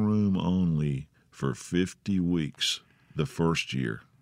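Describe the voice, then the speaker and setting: Very deep, low male voice in a Mississippi accent, very slow in pace, with lively intonation. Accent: US Southern (Mississippi). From Mississippi (Grenada). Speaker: musician. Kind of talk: casual chat. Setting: studio. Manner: halting.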